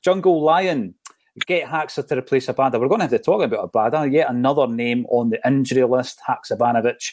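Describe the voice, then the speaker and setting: Dry and close with no echo, a man with a Scottish accent speaks very fast at a fairly high pitch with lively intonation. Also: very clean recording, silent background. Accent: Scottish (Fife). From Scotland, Fife. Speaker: football podcast host. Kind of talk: casual chat.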